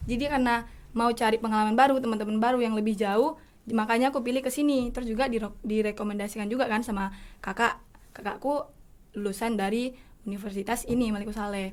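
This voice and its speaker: A woman speaks very fast at a fairly high pitch. Her intonation is fairly even. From Simeulue island, Aceh. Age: young. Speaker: university student. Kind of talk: casual chat.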